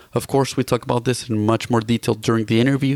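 A normal speaking voice with fairly even intonation and a dry, close sound with no echo. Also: man. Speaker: podcast host. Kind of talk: interview, scripted intro.

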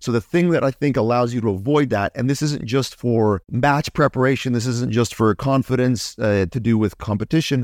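With a Canadian accent and a normal speaking voice, a man talks at a moderate pace with hardly any pauses, his medium pitch varying in an ordinary way. The very clean recording has a silent background and a dry, close sound with no echo. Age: 40s. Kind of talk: casual interview chat.

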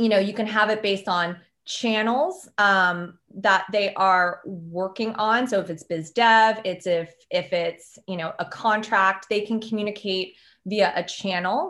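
A woman with an American accent speaks at a moderate pace and medium pitch, with hardly any pauses. Her intonation is fairly even, and the background is quiet. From Maryland, US. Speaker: consultant. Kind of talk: podcast interview. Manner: halting, many fillers.

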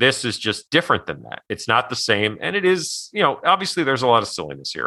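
A man with vocal fry and very wide pitch swings, at a very fast pace against a quiet background. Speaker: podcast co-host. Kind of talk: casual chat.

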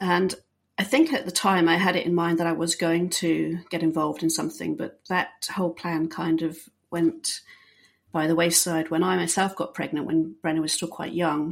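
A woman's fairly low voice with a British accent, at a moderate pace with ordinary pitch variation. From Bahrain and England. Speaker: detection dog trainer and search and rescue handler. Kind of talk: interview. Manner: hesitant, many fillers.

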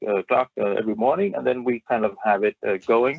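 A man with a Danish accent. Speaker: app founder. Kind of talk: interview. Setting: video call.

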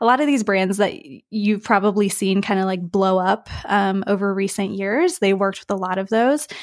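A woman with an American accent speaks in a normal speaking voice at a medium pitch and moderate pace. Her pitch variation is ordinary, with hardly any pauses, on a very clean recording with a silent background. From US, West Virginia. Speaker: brand designer, studio founder. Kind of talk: interview conversation.

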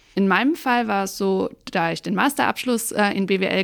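A normal speaking voice talks at a moderate pace with ordinary pitch variation in a very clean recording with a silent background. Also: woman. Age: 30s. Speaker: tax advisor and auditor. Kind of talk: interview.

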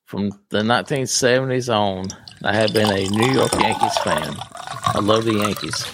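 A man with a fairly low pitch and a plain, everyday voice, fairly slow with ordinary pitch variation and an American accent. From US South. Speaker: podcast host, retired law enforcement officer.

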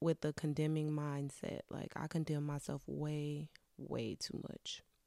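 A woman speaks in a very deep, low pitch with a dark, mellow tone. The recording is very clean, with a silent background and a dry, close sound with no echo. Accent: American. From Wisconsin, US Midwest. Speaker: podcast host. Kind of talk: casual monologue.

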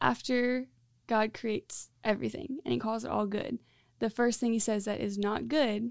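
With an American accent, a woman speaks at a fairly high pitch with ordinary pitch variation. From Central Florida. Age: 20s. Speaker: discipleship school student. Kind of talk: interview. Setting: studio with headset.

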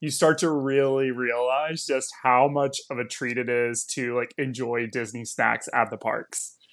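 An ordinary speaking voice from a man with an American accent, medium pitch and moderate pace, on a very clean recording with a silent background. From Texas. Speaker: travel content creator. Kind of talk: casual chat.

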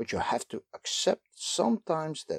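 A man with a Dutch accent speaks at a fairly slow pace, with vocal fry. The recording is dry and close, with no echo. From Netherlands. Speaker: lecturer. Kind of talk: lecture.

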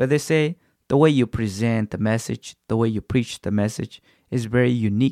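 Spoken at a moderate pace in a non-native accent, the voice has a dark, mellow tone and ordinary pitch variation, with a dry, close sound with no echo and a very clean recording over a silent background. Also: man. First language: not English. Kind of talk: devotional talk. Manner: hesitant, many fillers.

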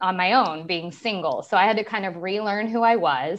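A woman speaks in a plain, everyday voice at medium pitch. Her pace is moderate and her pitch variation ordinary. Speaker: online beauty business owner. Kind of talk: personal testimony in interview.

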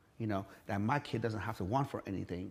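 Ordinary pitch variation in a man's medium-pitched speaking voice. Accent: Persian. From Iran. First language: Persian. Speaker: fitness entrepreneur. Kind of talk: interview. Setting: garage.

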